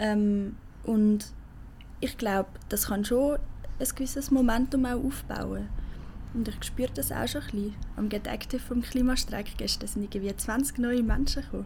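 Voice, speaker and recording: A woman speaks at a moderate pace, and audible room echo surrounds her voice. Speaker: climate activist. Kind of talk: casual interview.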